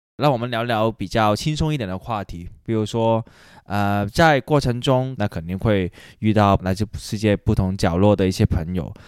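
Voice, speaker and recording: Recorded very cleanly against a silent background with dry, close sound and no echo, a man speaks at a moderate pace with a fairly low pitch and ordinary pitch variation. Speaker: guest host interviewer. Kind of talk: casual interview chat. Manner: halting with many fillers.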